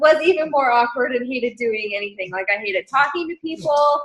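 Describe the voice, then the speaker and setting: A woman's voice with very wide swings in pitch. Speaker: team leader in direct sales business. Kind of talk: team training. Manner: fast.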